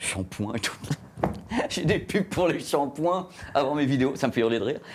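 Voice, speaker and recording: Here a man talks in an animated tone at a fairly high pitch. His intonation is lively. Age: middle-aged. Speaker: journalist and YouTuber. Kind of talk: interview. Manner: fast.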